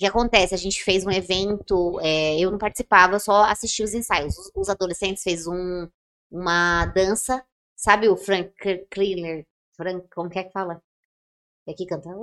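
A woman with a plain, everyday voice speaks at a moderate pace and medium pitch, her intonation fairly even but her loudness swinging widely. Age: 30s. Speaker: podcast co-host. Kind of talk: casual chat.

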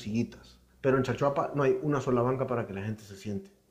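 A man talks at a very fast pace and medium pitch. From foreign to the region. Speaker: podcast co-host. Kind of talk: casual chat.

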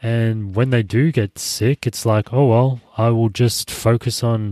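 A man's dark, mellow tone at a fairly slow pace, with fairly even intonation, in a dry, close sound with no echo on a very clean recording with a silent background. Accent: Australian. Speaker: podcast host. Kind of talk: solo podcast monologue. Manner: casual, many fillers.

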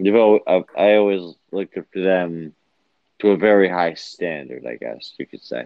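With a very deep, low pitch, a man speaks at a moderate pace, showing ordinary pitch variation and big swings in loudness. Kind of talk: casual chat. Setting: headphones, remote call. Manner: halting, filler words.

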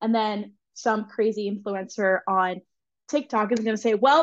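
A woman with an American accent uses an ordinary speaking voice. Her pitch is fairly high and her intonation fairly even. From central Pennsylvania. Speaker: dairy promotion and nutrition influencer. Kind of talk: casual chat.

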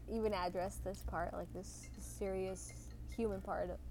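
The woman speaks at a fairly slow pace. Room echo can be heard around her voice. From southern Mexico. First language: Spanish. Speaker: podcast co-host. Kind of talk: casual chat. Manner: halting.

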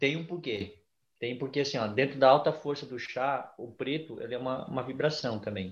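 A man's somewhat breathy, medium-pitched voice at a moderate pace with ordinary pitch variation. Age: 30s. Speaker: ayahuasca ceremony leader, geography teacher. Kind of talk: interview.

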